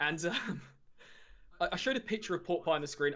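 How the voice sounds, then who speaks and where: A man talks at a very fast pace. He has an English accent. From England. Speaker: Magic the Gathering streamer. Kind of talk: casual interview chat.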